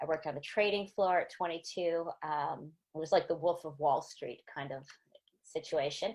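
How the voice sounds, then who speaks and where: With an American accent, a woman uses a normal speaking voice at a fairly low pitch, moving at a moderate pace with ordinary pitch variation and big swings in loudness. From US, small town. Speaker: angel investor. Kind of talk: panel discussion.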